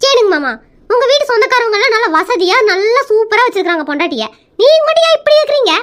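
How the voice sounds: A put-on character voice, fast and fairly bright, with big pitch swings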